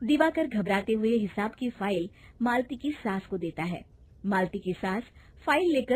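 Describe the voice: This plain reading aloud has lively intonation.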